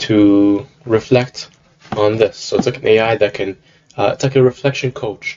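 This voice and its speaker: The speaker is a man with a somewhat breathy voice. He keeps a moderate pace, and his pitch varies in an ordinary way. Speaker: software developer demoing a project. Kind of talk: product demo. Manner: halting, many fillers.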